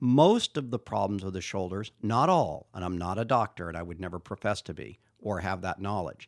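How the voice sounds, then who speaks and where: A man with a normal speaking voice talks with lively intonation at a fairly low pitch, recorded dry and close with no echo on a very clean recording with a silent background. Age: 50s. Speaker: Indian club trainer and maker. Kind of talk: interview.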